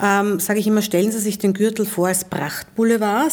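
Her tone dark and mellow, a woman talks at a fairly quick pace with a medium pitch. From Vienna, Austria. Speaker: transport company executive. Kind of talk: interview.

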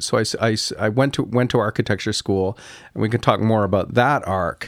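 In a normal speaking voice with a Canadian accent, a man talks at a moderate pace and medium pitch with ordinary pitch variation, in a very clean recording with a silent background. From Canada, Kingston, Ontario. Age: 60s. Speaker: architect. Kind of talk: interview conversation. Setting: studio.

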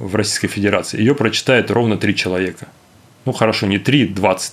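A man talks very fast at a fairly low pitch. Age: 40s. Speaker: forensic medical expert. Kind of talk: casual chat.

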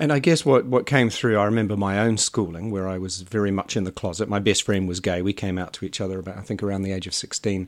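A man talks at a very fast pace with a New Zealand accent. He leaves hardly any pauses. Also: fairly low pitch for a man, ordinary pitch variation. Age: 50s. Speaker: podcast host. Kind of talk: interview.

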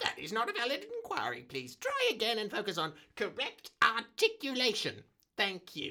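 A female-sounding put-on character voice, fairly high in pitch for a woman, delivers lines at a moderate pace. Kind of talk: comic overacting.

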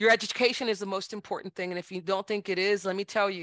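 Against a quiet background, a woman with an American accent speaks at a medium pitch in a bright, sharp tone, with a dry, close sound and no echo. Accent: South Texas Tejano English. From South Texas, Brownsville (Rio Grande Valley). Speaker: judge. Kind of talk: interview.

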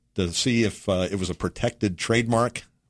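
Recorded very cleanly against a silent background, a man with an American accent and an unremarkable speaking voice talks in a fairly low pitch with ordinary pitch variation. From Texas. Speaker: restaurant owner. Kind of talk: interview. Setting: studio.

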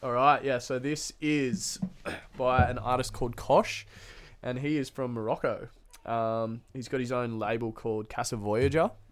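Medium-pitched male speech with an Australian accent, fairly even intonation and a moderate pace. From Australia, Queensland (Noosa). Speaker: DJ. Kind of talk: casual chat.

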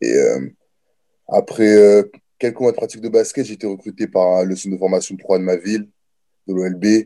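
Dark and mellow in tone, a man speaks at a moderate pace in a fairly low pitch. His intonation stays fairly even, broken by long, frequent pauses. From France, Nancy and Orléans. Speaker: college football player. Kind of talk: interview. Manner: casual.

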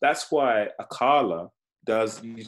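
A man with a London accent and ordinary pitch variation. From East London (Canning Town), Nigerian heritage. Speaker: actor. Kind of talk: casual interview chat. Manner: halting, many fillers and repetitions.

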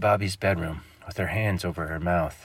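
Here a man talks at a moderate pace. His pitch is very deep and low. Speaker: author and narrator. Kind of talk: horror story narration, read aloud. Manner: shifts into mock-anchor and irritated voices for characters.

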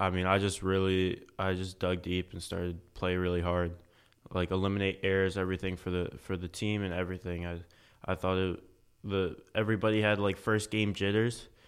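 A man's very deep, low voice in an American accent, fairly quick and monotone with flat intonation. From Pennsylvania, US. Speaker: college volleyball player. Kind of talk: interview. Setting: studio.

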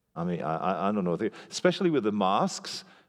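A man with a French accent, fairly low pitch and lively intonation, on a very clean recording with a silent background. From Belgium. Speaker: pastor. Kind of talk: sermon. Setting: church. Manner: animated.

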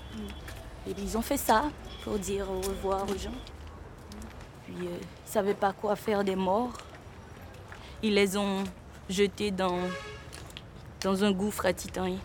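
Her medium-pitched voice keeps a fairly even intonation but swings a lot in loudness. The woman leaves long, frequent pauses. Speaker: theatre artist. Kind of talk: documentary interview.

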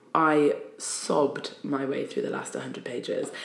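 There is audible room echo around a woman with a Geordie accent. She speaks at a very slow pace. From northern England, Newcastle upon Tyne. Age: 30s. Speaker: poet and spoken word artist. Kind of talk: casual chat. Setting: office.

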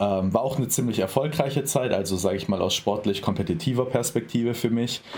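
A man speaks very fast at a medium pitch, with hardly any pauses and ordinary pitch variation. Noticeable background noise is present. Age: 20s. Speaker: bodybuilding athlete and sports science student. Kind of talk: casual interview conversation.

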